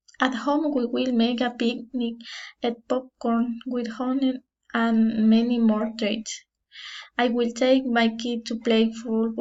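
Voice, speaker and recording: A woman's very slow, monotone, flat delivery in a Spanish accent, her pitch fairly high. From Ecuador. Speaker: language student. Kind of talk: class presentation. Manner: halting.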